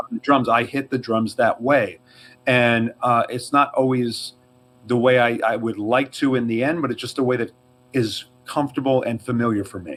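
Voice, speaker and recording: A man with a slight New York accent speaks at a moderate pace in a medium pitch, his intonation fairly even, on a very clean recording with a silent background. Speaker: drummer, podcast co-host. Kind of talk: casual chat.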